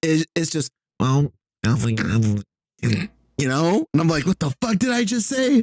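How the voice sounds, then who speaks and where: Mumbling at a fairly slow pace with long, frequent pauses, the voice has an animated tone and very wide pitch swings in a dry, close sound with no echo. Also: man, fairly high pitch for a man. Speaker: podcast co-host. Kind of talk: casual chat.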